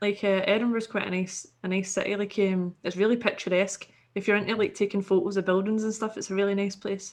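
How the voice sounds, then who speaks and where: A woman with a Scottish accent talks at a fairly quick pace. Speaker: podcast guest, online content creator. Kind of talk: casual chat.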